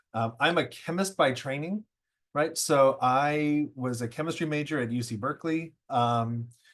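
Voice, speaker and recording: Over a quiet background, a man speaks with an American accent at a moderate pace. His fairly high pitch has ordinary variation. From California. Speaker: professor. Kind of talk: online presentation. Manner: halting, many fillers.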